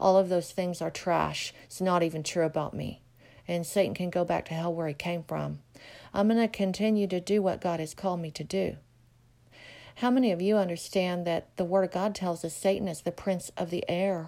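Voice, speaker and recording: Her tone dark and mellow, a woman speaks at a fairly low pitch with fairly even intonation. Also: moderate pace, very clean recording, silent background. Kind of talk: devotional prayer request message. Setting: solo audio recording. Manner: halting, filler-heavy, earnest.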